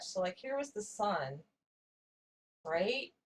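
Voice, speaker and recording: A woman's voice moves through very wide pitch swings. It sounds somewhat breathy. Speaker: channel owner telling a personal story. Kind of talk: casual storytelling while drawing.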